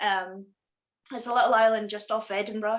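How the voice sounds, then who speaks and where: In a strong Scottish accent, a woman speaks at a fairly high pitch with ordinary pitch variation. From Scotland. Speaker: punk musician. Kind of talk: casual interview.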